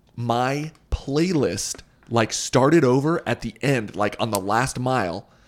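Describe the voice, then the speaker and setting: With an unremarkable speaking voice, a man keeps a fairly slow pace, a medium pitch and ordinary pitch variation. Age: 20s. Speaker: podcast host. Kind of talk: scripted monologue; casual chat.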